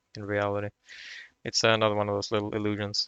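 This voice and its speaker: A man with a Swedish accent speaks at a fairly low pitch. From Sweden. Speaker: video game tutorial creator. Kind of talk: tutorial. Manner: halting, repeats words; casual.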